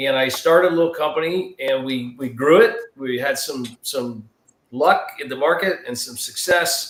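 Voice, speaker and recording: Big swings in loudness come through as a man with an American accent and fairly high pitch talks at a moderate pace with ordinary pitch variation. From Southern California. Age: 50s. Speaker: political candidate. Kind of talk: interview.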